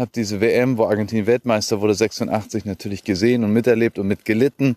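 A man's dark, mellow tone in a monotone, flat delivery, fairly quick, with a dry, close sound and no echo. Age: 40s. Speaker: podcaster. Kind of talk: solo monologue. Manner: halting.

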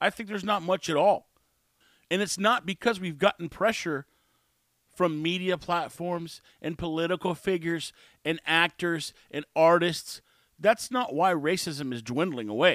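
Speaking at a moderate pace with an American accent, a high-pitched man is heard on a very clean recording with a silent background and a dry, close sound with no echo. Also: ordinary pitch variation. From Texas. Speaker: podcast host. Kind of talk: casual monologue.

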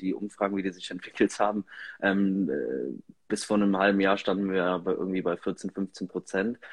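At a moderate pace, a man speaks in a plain, everyday voice with a fairly low pitch. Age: 20s. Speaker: member of parliament. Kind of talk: interview. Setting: Instagram live stream.

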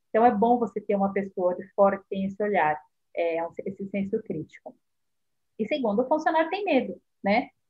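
A woman at medium pitch speaks in a somewhat breathy way. Her speech has long, frequent pauses. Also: lively intonation, fairly quick pace. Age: 40s. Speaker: marketing specialist. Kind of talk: casual chat. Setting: live stream.

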